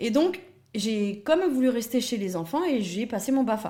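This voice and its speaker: Somewhat breathy, a woman talks at a moderate pace. Her tone is dark and mellow, with ordinary pitch variation. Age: 30s. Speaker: early childhood educator. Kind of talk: interview. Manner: hesitant with many fillers.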